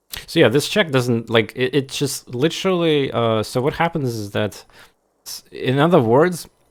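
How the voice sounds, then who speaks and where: A man's medium-pitched voice with a Russian accent and ordinary pitch variation. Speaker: game streamer. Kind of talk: casual gameplay commentary. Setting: live stream. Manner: halting, many fillers and restarts.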